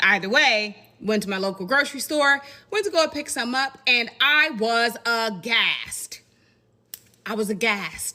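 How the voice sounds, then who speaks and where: Speaking at a fairly slow pace, a woman with an American accent uses a fairly high pitch and lively intonation. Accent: country-sounding. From Indiana, US Midwest with Southern family roots. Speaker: content creator. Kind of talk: casual commentary video.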